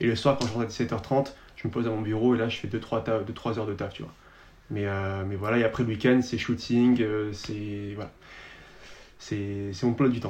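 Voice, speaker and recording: At a moderate pace and medium pitch, a man talks with fairly even intonation and long, frequent pauses. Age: 20s. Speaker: Instagram content creator. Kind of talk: casual chat.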